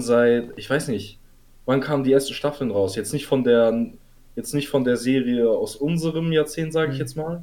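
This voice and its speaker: A man speaks at a moderate pace with a fairly high pitch. His tone is dark and mellow, with ordinary pitch variation. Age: 20s. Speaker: podcast host, student. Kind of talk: casual chat.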